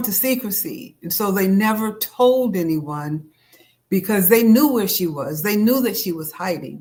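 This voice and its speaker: A woman with an American accent speaks at a medium pitch and a fairly slow pace. Her voice is somewhat breathy, with lively intonation. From upstate New York (Auburn). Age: 70s. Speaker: author. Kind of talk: interview.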